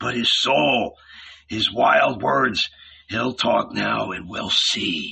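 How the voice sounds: A man's put-on character voice, fairly low in pitch, with vocal fry, a husky, rough edge, a bright, sharp tone, ordinary pitch variation, and a very slow pace.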